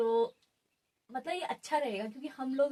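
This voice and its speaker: A woman's dark, mellow tone. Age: 20s. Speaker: podcast co-host. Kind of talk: casual chat.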